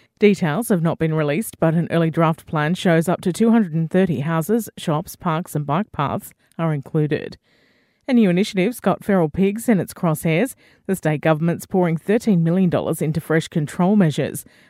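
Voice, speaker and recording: Speaking fairly quickly in an Australian accent, a woman with a fairly low pitch and dark, mellow tone shows ordinary pitch variation, recorded very cleanly over a silent background with a dry, close sound and no echo. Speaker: radio news reader. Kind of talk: formal radio newsreading, brisk bulletin of local headlines. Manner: formal, crisp, even-paced and neutral.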